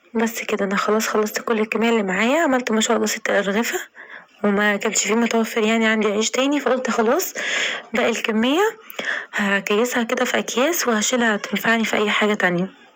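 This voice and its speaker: Speaking at a fairly quick pace, a woman keeps her loudness very even. Her pitch is fairly high, and there is noticeable background noise. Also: ordinary pitch variation. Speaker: home cooking vlogger. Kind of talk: tutorial.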